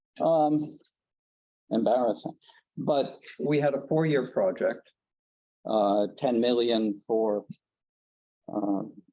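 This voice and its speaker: A man with an American accent talks at a very slow pace, leaving long, frequent pauses. His medium-pitched voice has a dark, mellow tone and very even loudness. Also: ordinary pitch variation. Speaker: conference presenter, geothermal researcher. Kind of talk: conference presentation.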